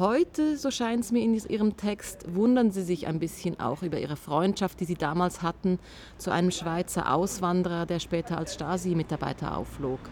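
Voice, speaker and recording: The intonation is lively. It comes from an unremarkable speaking voice moving at a moderate pace. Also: woman, fairly low pitch for a woman. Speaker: interviewer. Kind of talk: interview. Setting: outdoors.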